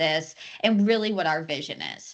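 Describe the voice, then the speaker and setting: Against a quiet background, a woman with medium pitch talks at a moderate pace. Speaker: software company executive giving product demo. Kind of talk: product demo webinar.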